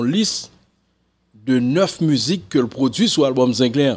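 A man speaking at a very slow pace in a Haitian accent. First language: Haitian Creole (speaking French). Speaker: music commentator. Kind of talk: casual commentary to camera. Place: home room. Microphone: studio mic.

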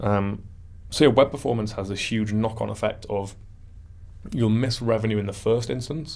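Here a man talks in a northern English accent at a moderate pace. His pitch is fairly low and his intonation fairly even. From northern England. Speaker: web performance consultant; interview guest. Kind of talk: interview. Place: studio. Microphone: studio mic.

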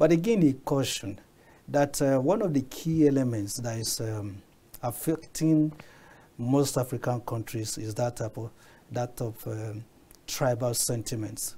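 A somewhat breathy man with a dark, mellow tone speaks at a fairly slow pace with ordinary pitch variation. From Nigeria. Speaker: media consultant and political commentator. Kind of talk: studio panel discussion. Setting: TV studio. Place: studio.

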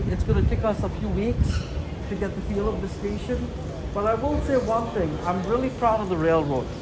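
Loud background noise surrounds this voice. A man talks at a fairly quick pace. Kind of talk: casual vlog chat. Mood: upbeat, proud. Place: station. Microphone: phone near.

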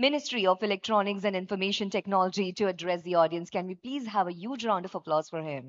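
A woman with an Indian accent at a very fast pace, hardly any pauses, against a quiet background. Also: medium pitch for a woman, ordinary pitch variation. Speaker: event anchor, master of ceremonies. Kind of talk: live government conference hosting. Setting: PA system, live event hall. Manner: enthusiastic, upbeat. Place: hall. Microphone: podium.

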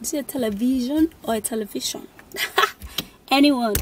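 A high-pitched woman's voice, dry with no echo, over light background noise. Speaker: vlogger. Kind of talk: casual vlog chat. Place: car. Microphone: phone near.

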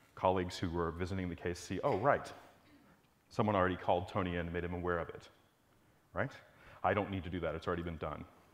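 Very fast and very deep, a man's low voice keeps a fairly even intonation. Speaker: conference presenter. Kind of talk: lecture. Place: hall. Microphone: lapel.

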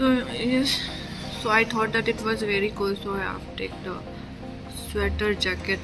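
A woman speaks at a fairly slow pace. Music is clearly heard behind her. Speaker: travel vlogger. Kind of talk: casual vlog chat. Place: cafe. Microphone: phone near.

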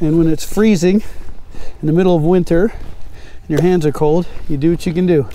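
A man with a high pitch speaks at a moderate pace with fairly even intonation and very even loudness, in a dry sound with no echo. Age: 50s. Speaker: fishing YouTuber. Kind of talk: casual vlog narration. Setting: outdoors. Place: waterside.

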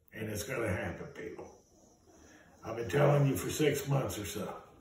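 A man's medium-pitched voice, slightly mellow in tone, with strong room echo. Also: ordinary pitch variation, moderate pace.

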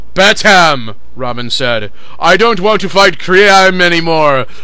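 A man speaks in a raised, projected voice with lively intonation. His pace is very slow, and there is noticeable background noise. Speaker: fan fiction reader. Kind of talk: comedic dramatic reading.

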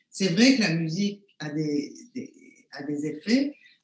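Against a quiet background with audible room echo, a woman speaks with lively intonation and a somewhat breathy voice. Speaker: neuroscience professor. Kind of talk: panel discussion. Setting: video call. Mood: calm, thoughtful. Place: home room. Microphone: webcam.

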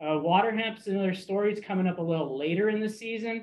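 A man speaks at a fairly quick pace with a high pitch. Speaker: weed science outreach specialist. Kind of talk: research presentation. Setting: video call. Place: office.

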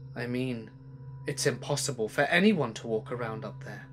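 Over background music, a man performs a shaky, put-on character voice at a medium pitch and a moderate pace. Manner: shaky, unsettled.

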